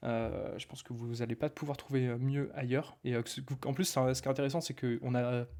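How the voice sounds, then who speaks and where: Over a silent background in a very clean recording, a man talks at a fairly quick pace in a dark, mellow tone. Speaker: online marketing coach. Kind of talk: live stream talk. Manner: fast; animated.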